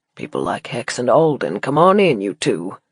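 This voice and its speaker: Using a put-on character voice, a man drawls at a moderate pace and medium pitch, with a dry, close sound and no echo. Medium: read story. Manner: drawling, laconic.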